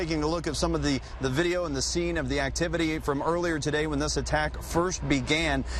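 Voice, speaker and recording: Over noticeable background noise, a man rattles along at a very fast pace with hardly any pauses. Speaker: television news anchor and reporter. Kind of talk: live breaking-news anchor toss to field crew.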